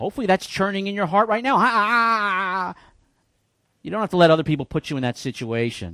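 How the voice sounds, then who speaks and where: Speaking at a very fast pace in a raised, projected voice, a man with a high pitch and a bright, sharp tone makes very wide pitch swings, the recording very clean with a silent background and a dry, close sound with no echo. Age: 50s. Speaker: pastor. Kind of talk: sermon.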